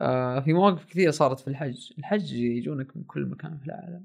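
A man with a plain, everyday voice, fairly high in pitch, at a moderate pace with lively intonation. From Saudi Arabia, Asir region (mountain village). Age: 20s. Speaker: documentary filmmaker. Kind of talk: casual storytelling.

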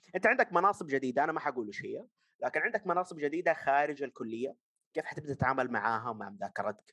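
At a fairly quick pace, a man talks in a fairly high, bright, sharp voice with very wide pitch swings, the sound dry and close with no echo. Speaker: podcast co-host. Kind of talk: casual chat.

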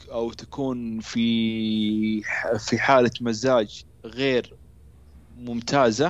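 A man speaks at a very slow pace with a medium pitch. His intonation is monotone and flat. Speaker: stuttering awareness activist. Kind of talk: interview. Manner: halting.

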